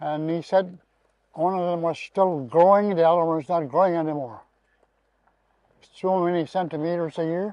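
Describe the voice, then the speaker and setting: Speaking at a moderate pace, a man with a high voice keeps a fairly even intonation and takes long, frequent pauses. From Canadian Arctic, western Inuit coast. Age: 80s+. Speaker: elder. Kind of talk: interview.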